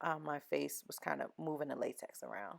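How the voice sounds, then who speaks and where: On a very clean recording, a woman's voice sits over a silent background. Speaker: makeup tutorial creator. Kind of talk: voiceover tutorial. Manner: fast; casual, chatty.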